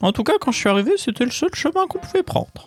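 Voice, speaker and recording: Over faint background music, a man rattles off lines at a very fast pace in a put-on character voice. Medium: actual play.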